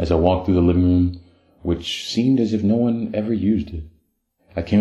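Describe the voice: Plain reading aloud with ordinary pitch variation sits against a quiet background.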